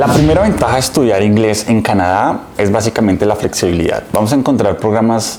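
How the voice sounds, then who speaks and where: A man's fairly low voice at a fairly quick pace, ordinary pitch variation, noticeable background noise underneath. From Colombia. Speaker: immigrant vlogger. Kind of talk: vlog talk to camera. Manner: casual, conversational.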